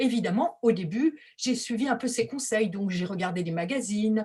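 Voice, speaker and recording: A woman's somewhat breathy, fairly high voice at a fairly slow pace, with very wide pitch swings, on a very clean recording with a silent background. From France. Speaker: textile artist. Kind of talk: presentation.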